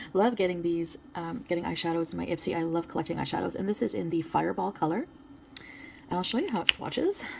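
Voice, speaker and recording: Here a woman speaks at a very fast pace. She has a French Canadian accent. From Quebec. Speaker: beauty YouTuber. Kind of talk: product review. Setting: home filming with ring light. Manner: casual, hesitant with fillers.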